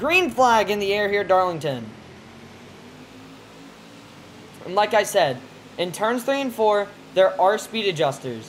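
A woman speaks at a moderate pace, her pitch swinging very widely. Light background noise runs underneath. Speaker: game race host, commentator. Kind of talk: live gameplay race commentary.

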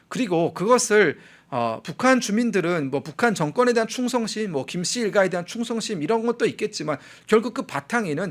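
Here a man talks at a high pitch with lively intonation. His pace is moderate, and the recording is very clean with a silent background. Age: 30s. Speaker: political commentator. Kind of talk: news commentary.

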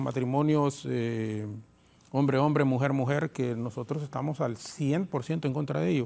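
Dark and mellow in tone, a man with a Honduran accent speaks with fairly even intonation. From Honduras. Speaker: congressman; politician panel guest. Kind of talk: political talk show panel. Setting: TV studio. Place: studio. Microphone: lapel.

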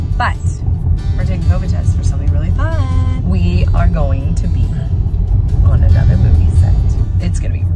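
A woman speaks at a moderate pace with ordinary pitch variation. Loud music plays in the background. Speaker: family vlogger. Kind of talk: casual vlog chat. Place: car. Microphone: phone near.

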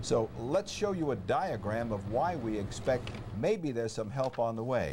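Pitch swings widely as the speaker moves at a fairly slow pace. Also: man, medium pitch for a man.

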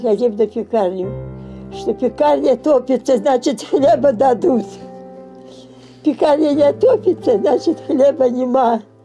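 Faint music plays in the background as a woman speaks high and very slowly, with lively intonation, very even loudness and long, frequent pauses. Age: 80s+. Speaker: Gulag survivor; interviewee. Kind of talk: testimony. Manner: halting. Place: home room.

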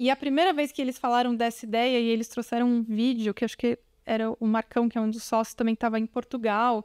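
This woman talks very fast in a flat monotone, her loudness very even and her pitch fairly high. The sound is dry with no echo, and the background is quiet. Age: 40s. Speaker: marketing director; guest. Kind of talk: interview. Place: studio. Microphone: studio mic.

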